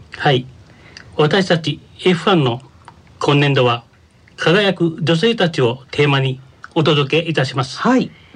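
A man speaks at a fairly slow pace with a fairly high pitch, lively intonation, and long, frequent pauses. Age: 60s. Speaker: senior college student. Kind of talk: radio segment presentation.

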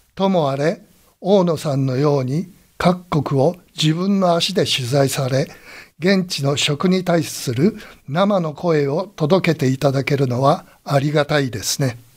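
On a very clean recording with a silent background, a somewhat breathy voice speaks at a fairly slow pace with ordinary pitch variation. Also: man, fairly high pitch for a man. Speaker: radio college host and commentator. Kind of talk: radio commentary closing remarks.

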